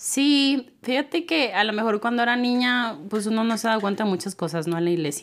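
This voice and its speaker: Talking at a fairly quick pace, a woman with an unremarkable speaking voice sounds fairly high-pitched, with lively intonation. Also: very clean recording, silent background. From Mexico, Tehuacán, Puebla. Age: 30s. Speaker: digital marketing entrepreneur. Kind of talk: casual interview chat. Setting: church building.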